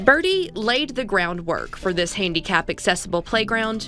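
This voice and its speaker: A woman with an American accent speaks at a medium pitch and a moderate pace, with lively intonation. Music plays in the background. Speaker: TV news anchor and reporter. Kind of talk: local TV news delivery. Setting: news feature voiceover.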